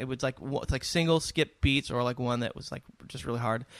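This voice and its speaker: In a plain, everyday voice, a man with an American accent talks at a fairly quick pace with ordinary pitch variation, the sound dry and close with no echo. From US West Coast, San Diego. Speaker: musician. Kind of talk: casual chat.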